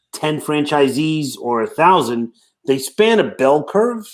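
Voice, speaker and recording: In a Brooklyn accent, a man speaks at a fairly slow pace with lively intonation. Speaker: franchise consultant. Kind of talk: casual interview chat.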